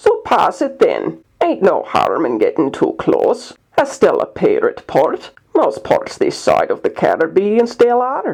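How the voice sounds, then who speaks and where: A man uses a put-on character voice that is gruff yet extremely high in pitch. He speaks at a fairly slow pace. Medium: read story. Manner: argumentative, dismissive, rough ungrammatical speech.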